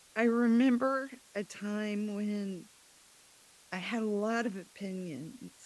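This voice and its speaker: Quiet and at a very slow pace, a woman speaks with a fairly high pitch, ordinary pitch variation and long, frequent pauses. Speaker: business owner, CEO of a sign company. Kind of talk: podcast interview.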